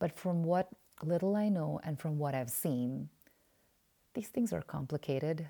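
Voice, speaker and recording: A woman with a very deep, low voice and a dark, mellow tone speaks at a fairly slow pace with lively intonation and long, frequent pauses, on a very clean recording with a silent background. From Oman (Indian family). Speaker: podcast host. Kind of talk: personal reflection monologue. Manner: halting, frequent fillers.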